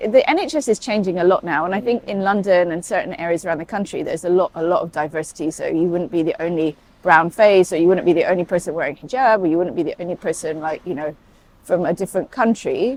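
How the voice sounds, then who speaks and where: A woman speaks very fast in a British accent. Her pitch is fairly low and varies in an ordinary way. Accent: sounds very British. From Saudi Arabia, then UK boarding school. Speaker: paediatric emergency doctor. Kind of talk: interview conversation. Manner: hesitant, many fillers.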